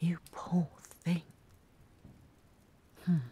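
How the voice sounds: Putting on a character voice, a woman speaks very slowly in a fairly low pitch with a dark, mellow tone, a husky, rough edge and monotone, flat intonation.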